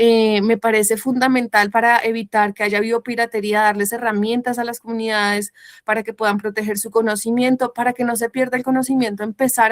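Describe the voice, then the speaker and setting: A woman's fairly high voice in a monotone, flat intonation, with a dry, close sound and no echo. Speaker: biologist. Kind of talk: lecture. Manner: fast; halting.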